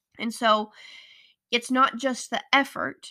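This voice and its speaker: In a General American accent, a woman speaks at a fairly high pitch with a bright, sharp tone and ordinary pitch variation, recorded very cleanly with a silent background and a dry, close sound with no echo. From Colorado. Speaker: podcast host. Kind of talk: solo motivational podcast monologue.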